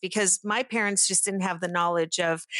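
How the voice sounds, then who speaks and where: Against a quiet background, a woman with a Pittsburgh accent speaks with fairly even intonation in a dry, close sound with no echo. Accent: American (Pittsburgh area). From Brazil, moved to Pittsburgh area at 10. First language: Portuguese. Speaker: chemical engineer and industry manager. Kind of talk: interview. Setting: video call.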